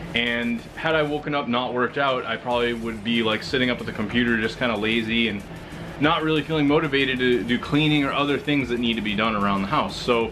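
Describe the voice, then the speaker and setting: A man talking at a very fast pace, with noticeable background noise and audible room echo. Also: medium pitch for a man, ordinary pitch variation. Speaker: fitness vlogger. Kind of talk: casual video blog. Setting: at home.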